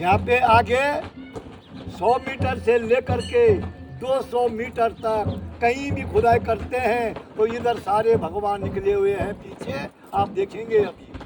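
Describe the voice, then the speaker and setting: There is noticeable background noise behind this man's voice. He speaks in a high pitch with fairly even intonation. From Uttarakhand, Jaunsar-Bawar area. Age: 70s. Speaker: temple guide. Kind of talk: guided temple tour narration.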